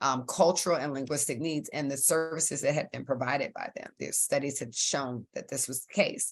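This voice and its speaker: Speaking at a fairly quick pace, a woman leaves hardly any pauses. Her very deep, low pitch varies in an ordinary way, with big swings in loudness. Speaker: physician and guest speaker. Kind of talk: webinar lecture. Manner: fast.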